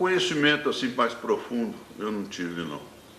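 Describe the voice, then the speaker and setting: Through noticeable background noise and audible room echo, a man speaks with very wide pitch swings. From Minas Gerais, Brazil (Divinópolis). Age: 80s+. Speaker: painter and poet. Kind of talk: interview, life story. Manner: halting, with repetitions.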